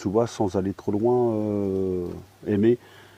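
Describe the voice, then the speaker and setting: A man talks at a fairly low pitch with ordinary pitch variation. The sound is dry and close, with no echo. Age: 50s. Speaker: live stream participant. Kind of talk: casual chat.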